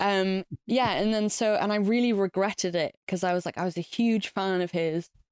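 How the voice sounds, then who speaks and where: The recording is very clean, with a silent background and a dry, close sound with no echo. A woman of medium pitch speaks with an English accent and fairly even intonation. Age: 30s. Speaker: musician. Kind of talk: casual chat.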